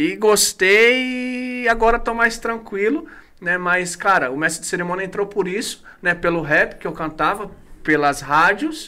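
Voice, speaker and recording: At a fairly slow pace, a man uses a raised, projected voice with a bright, sharp tone, high pitch and lively intonation. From Brazil, Guarulhos (São Paulo). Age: 30s. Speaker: pastor. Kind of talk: casual chat.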